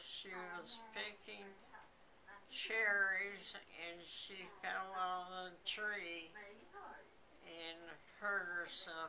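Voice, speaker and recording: A woman of medium pitch speaks very slowly in a flat monotone, with long, frequent pauses and noticeable background noise. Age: 90s. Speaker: grandmother recalling childhood. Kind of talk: interview answer.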